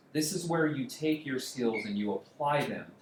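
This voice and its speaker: The man's intonation is lively. Room echo can be heard. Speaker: coding bootcamp instructor. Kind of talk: lecture. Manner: fast.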